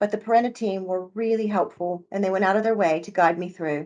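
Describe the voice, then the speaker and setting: This woman talks at a very fast pace with an American accent. Her pitch is medium, with ordinary pitch variation. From United States. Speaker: early years tutor, former nursery manager. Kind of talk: testimonial.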